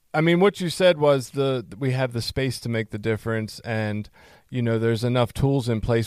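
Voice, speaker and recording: The speaker is a man with an American accent and a medium pitch. The sound is dry and close, with no echo. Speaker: podcast host. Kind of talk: casual interview. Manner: loud.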